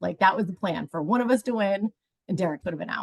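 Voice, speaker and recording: In a dry, close recording with no echo, a woman with a medium pitch talks at a very fast pace. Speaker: reality game contestant. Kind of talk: interview. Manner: loud.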